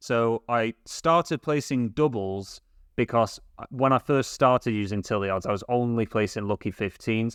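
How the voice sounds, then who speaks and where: Medium pitch from a man with a British accent, ordinary pitch variation and a moderate pace, in a dry, close sound with no echo against a quiet background. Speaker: sports betting youtuber. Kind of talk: tutorial. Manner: hesitant, with fillers.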